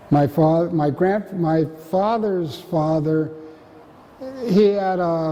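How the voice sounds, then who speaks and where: With an American accent, a man speaks at a very slow pace with ordinary pitch variation over noticeable background noise. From US West, Marin County, California. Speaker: oral history interviewee. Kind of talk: oral history interview. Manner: halting.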